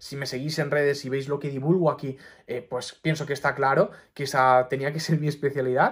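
The recording is very clean, with a silent background. A man speaks fairly quickly in a fairly high, somewhat breathy voice with monotone, flat intonation. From Mallorca, Spain. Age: 20s. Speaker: doctor and YouTuber. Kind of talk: personal advice monologue to camera.

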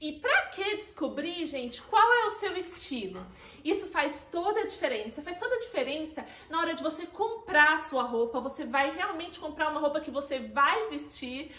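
A woman's raised, projected, bright and sharp voice at a moderate pace with audible room echo. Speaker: style consultant vlogger. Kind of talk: tutorial. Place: home room.

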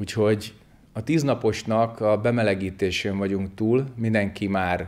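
In an ordinary speaking voice, a man talks at a fairly slow pace with fairly low pitch and fairly even intonation. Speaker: zen teacher. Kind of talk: sermon. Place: church. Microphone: lapel.

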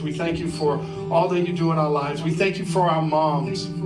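Loud background music fills the recording. Over it, a man talks at a moderate pace. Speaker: pastor. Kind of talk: church welcome and prayer. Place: church.

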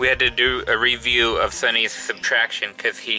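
A man talks as music plays faintly behind him. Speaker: parent vlogger. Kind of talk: casual vlog chat. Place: home room. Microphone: phone near.

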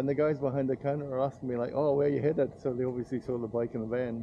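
There is light background noise behind a man speaking. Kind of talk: casual vlog chat. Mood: slightly nervous, then amused. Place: street. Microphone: phone near.

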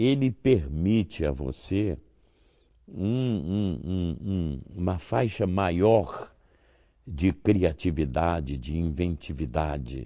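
Very deep and low, with a dark, mellow tone, a man speaks very slowly with long, frequent pauses and very wide pitch swings. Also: quiet background. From Brazil. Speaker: voice actor. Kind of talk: interview answer. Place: hall.

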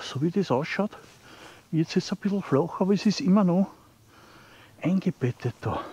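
With an Austrian Bavarian accent, a high-pitched man talks at a moderate pace with long, frequent pauses, in a dry, close sound with no echo and noticeable background noise. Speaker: outdoor vlogger. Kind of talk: walking vlog narration. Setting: outdoors in a forest.

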